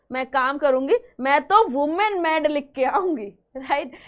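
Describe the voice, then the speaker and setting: A woman with a high pitch. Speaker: chemistry teacher. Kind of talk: online lecture. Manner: soft-spoken.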